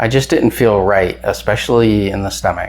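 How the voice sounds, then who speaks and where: A man talks in a normal speaking voice with an American accent. His pitch is fairly low and his intonation lively. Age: 50s. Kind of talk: casual talk to camera.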